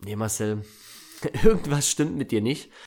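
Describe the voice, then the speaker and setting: The pace of this man's speech is moderate. His intonation is lively. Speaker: podcast host. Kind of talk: personal storytelling monologue.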